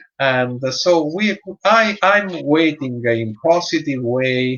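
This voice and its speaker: An Italian accent at a very slow pace. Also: man. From Italy. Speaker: dog breeder and show judge. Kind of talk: interview. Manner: halting, many hesitations.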